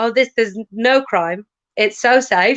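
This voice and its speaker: In a west Welsh accent, a woman speaks at a fairly high pitch, the sound dry and close with no echo over a quiet background. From west Wales, Ceredigion near Aberystwyth. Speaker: comedian. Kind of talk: casual chat.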